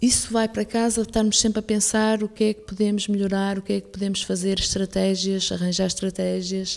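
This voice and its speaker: With a northern Portuguese accent, a woman speaks at a fairly quick pace with hardly any pauses, monotone, flat intonation and big swings in loudness. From northern Portugal, Penafiel; northern Portugal. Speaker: school director. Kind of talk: radio interview. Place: studio.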